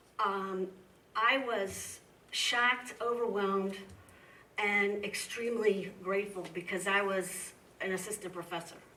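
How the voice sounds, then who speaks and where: A woman with an American accent at a medium pitch, fairly slow and fairly even in intonation, with long, frequent pauses, noticeable background noise and audible room echo. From US Midwest. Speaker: history professor. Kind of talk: lecture Q&A. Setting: museum talk with audience.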